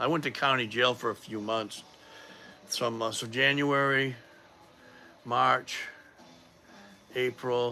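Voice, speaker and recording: With music in the background, a man with an American accent talks with fairly even intonation. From Massachusetts. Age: 50s. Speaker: powerlifting vlogger. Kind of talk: casual livestream talk. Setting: livestream. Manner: halting, many fillers.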